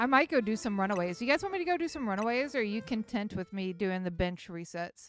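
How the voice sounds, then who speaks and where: A woman with an American accent at a very fast pace, fairly high-pitched, with very wide pitch swings, hardly any pauses and music in the background. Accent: Texan, slight, stronger when flustered. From West Texas. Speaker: streamer. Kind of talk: live stream gameplay chat. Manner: casual, chatty.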